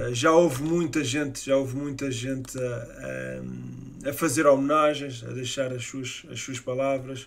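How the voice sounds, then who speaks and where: In a European Portuguese accent, a man speaks at a fairly slow pace. His medium-pitched voice stays monotone and flat. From Portugal. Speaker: YouTube sports channel host. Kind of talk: live-stream tribute monologue. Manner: halting, many fillers. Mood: sombre, respectful tribute. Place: home room.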